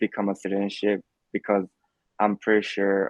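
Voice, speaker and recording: This man speaks with a Korean accent. He keeps a moderate pace. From South Korea. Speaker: immigrant interviewee. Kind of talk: interview. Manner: hesitant, many fillers.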